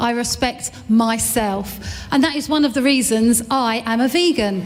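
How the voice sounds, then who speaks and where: A loud woman speaks at a fairly slow pace with ordinary pitch variation, with audible room echo and noticeable background noise. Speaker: event host. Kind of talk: live event presenting. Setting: stage with audience. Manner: animated.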